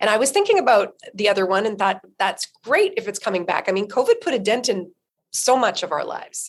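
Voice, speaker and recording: A woman speaks at a fairly quick pace with a Canadian accent, her fairly high pitch showing ordinary variation. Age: 50s. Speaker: nonprofit co-founder and former journalist. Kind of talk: interview. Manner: fast.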